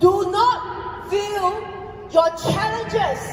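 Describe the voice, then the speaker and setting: A loud voice comes through audible room echo and noticeable background noise. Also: woman. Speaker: network marketing distributor giving a recognition speech. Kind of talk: motivational stage speech. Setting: stage with audience.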